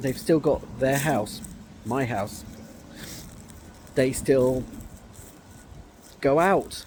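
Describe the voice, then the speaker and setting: A man is speaking. Noticeable noise can be heard behind him. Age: 30s. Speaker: vlogger. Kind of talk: emotional personal vlog. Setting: outdoors in a park. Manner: halting.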